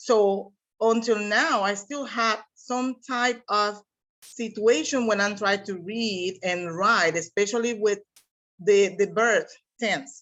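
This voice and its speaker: In a Spanish accent, a woman speaks very slowly at a medium pitch with ordinary pitch variation. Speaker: seminar participant, English teacher. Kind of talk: class discussion.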